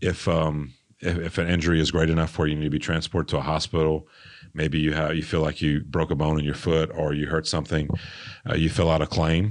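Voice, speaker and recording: A fairly quick, monotone voice with flat intonation plays over a quiet background. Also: man. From Louisiana, Lafayette. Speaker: martial arts gym owner and fight promoter. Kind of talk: interview. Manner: halting, many fillers.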